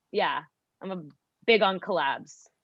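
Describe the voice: With a fairly low pitch and ordinary pitch variation, a woman speaks at a fairly slow pace in a dry, close sound with no echo.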